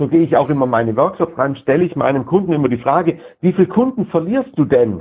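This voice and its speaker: Lively intonation from a somewhat breathy man. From southern Germany, Lake Constance. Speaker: sales trainer. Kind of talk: casual interview.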